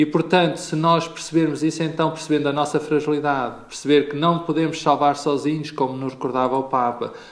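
Very fast, monotone, flat speech over noticeable background noise. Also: man. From Portugal, Pombal. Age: 40s. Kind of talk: interview.

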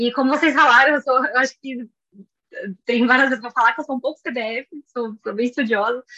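A woman projects a raised voice, bright and sharp in tone and high in pitch, moving at a fairly quick pace with fairly even intonation and long, frequent pauses, in a dry, close sound with no echo. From Brazil, São Paulo. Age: 20s. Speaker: biology graduate and pre-master's student. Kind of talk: interview.

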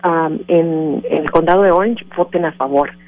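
There's ordinary pitch variation as a woman speaks at a moderate pace. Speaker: immigrant rights organization director. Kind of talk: radio interview. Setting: phone call. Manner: halting.

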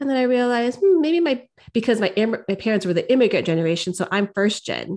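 A woman at a very fast pace. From San Francisco Bay Area (Daly City). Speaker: podcast co-host. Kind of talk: casual chat. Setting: podcast recording.

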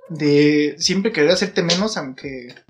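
A man is speaking. Music plays in the background. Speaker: podcast co-host. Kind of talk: casual chat. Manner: animated.

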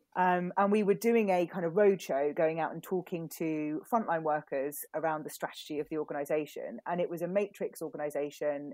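A woman speaks with a British accent at a moderate pace, her pitch fairly low and its variation ordinary. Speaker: communications consultant. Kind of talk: casual interview.

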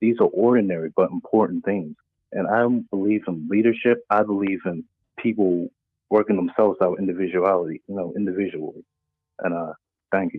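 At a fairly quick pace, a man uses a normal speaking voice, pitched fairly low with fairly even intonation. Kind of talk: call-in comment. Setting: phone call.

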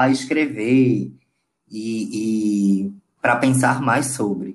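A man speaks with a Pernambuco accent. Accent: Pernambuco Brazilian Portuguese. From Brazil, Paulista near Recife, Pernambuco. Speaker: visual artist. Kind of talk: interview. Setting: audio call. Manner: halting.

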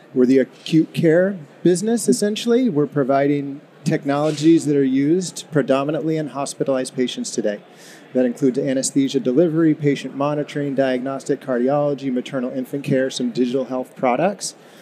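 Over noticeable background noise, a man with a fairly high pitch speaks at a fairly quick pace, his pitch varying in an ordinary way. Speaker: anesthesiologist, medical officer. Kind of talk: interview.

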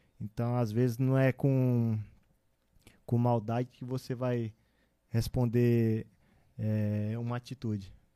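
The sound is dry and close with no echo. A man speaks at a very slow pace, leaving long, frequent pauses. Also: medium pitch for a man. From Brazil, interior of Maranhão. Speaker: professional football goalkeeper. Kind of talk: casual interview.

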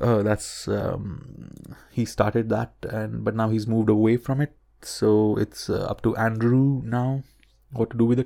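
Mumbling at a fairly slow pace, a man speaks in a monotone, flat intonation with a dark, mellow tone. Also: medium pitch for a man. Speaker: podcast host and science communication student. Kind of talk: solo podcast monologue, unscripted. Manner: filler-heavy, mumbling, many ums and ahs.

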